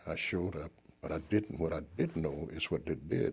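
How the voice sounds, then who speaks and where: A man with a Southern US accent speaks in a very deep, low pitch that is somewhat breathy. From Arkansas. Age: 70s. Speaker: war veteran. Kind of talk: oral history interview. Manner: halting.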